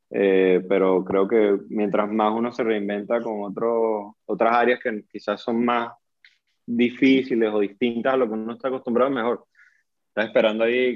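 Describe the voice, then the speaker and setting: Moderate-paced speech in a plain, everyday voice, its pitch varying in an ordinary way. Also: man. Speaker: podcast host. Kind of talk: casual chat.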